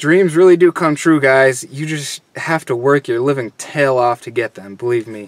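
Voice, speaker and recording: At a moderate pace, the voice comes through with a dry sound, no echo and a quiet background. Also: man. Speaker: car audio hobbyist vlogger. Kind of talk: casual vlog chat. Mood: earnest, grateful. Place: car. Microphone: phone near.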